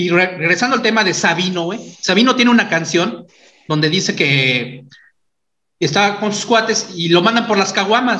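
With audible room echo, a man speaks at a moderate pace in a high-pitched, raised, projected voice with lively intonation. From Mexico, San Luis Potosí and Mexico City. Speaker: podcast host. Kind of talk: casual chat.

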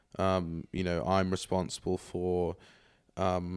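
Recorded very cleanly against a silent background, a man with a British accent speaks at a very deep, low pitch. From England and Scotland. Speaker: ESG professional at a bank. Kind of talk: casual chat.

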